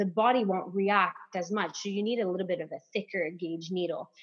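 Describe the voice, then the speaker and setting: Her voice sits at a medium pitch, and the woman uses ordinary pitch variation. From Canada, northern Ontario, French-speaking. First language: French. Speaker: acupuncturist and massage therapist. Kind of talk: casual podcast interview.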